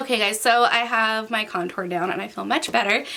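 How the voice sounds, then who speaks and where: Noticeable background noise surrounds a woman speaking at a moderate pace. Her voice is fairly high, with ordinary pitch variation. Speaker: beauty vlogger. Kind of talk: makeup tutorial. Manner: casual, chatty.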